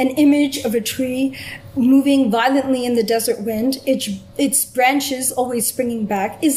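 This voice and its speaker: Over noticeable background noise, a woman with a Canadian accent speaks at a moderate pace and a high pitch. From Canada. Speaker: film scholar. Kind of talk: academic lecture. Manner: quiet.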